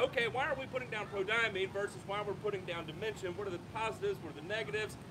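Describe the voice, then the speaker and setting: A man uses a raised, projected voice at a high pitch over noticeable background noise. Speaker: lawn care YouTuber. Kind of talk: panel discussion. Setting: outdoors with audience. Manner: loud.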